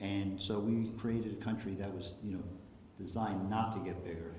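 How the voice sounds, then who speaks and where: The speaker has an American accent. Noticeable background noise and audible room echo fill the recording. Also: man. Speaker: political activist speaker. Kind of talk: public presentation. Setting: hall with live audience. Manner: casual, filler-heavy.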